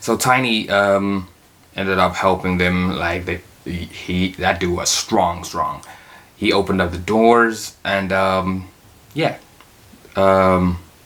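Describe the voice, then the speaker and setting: This voice belongs to a man. It sits very deep and low. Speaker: TV reaction youtuber. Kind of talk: casual episode recap. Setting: in his room. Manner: halting, many fillers.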